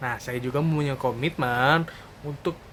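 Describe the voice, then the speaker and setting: A man speaks in a fairly high voice. His pitch varies in an ordinary way. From Indonesia, Karawang, West Java. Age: 20s. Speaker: fresh graduate job applicant. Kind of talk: video resume self-introduction.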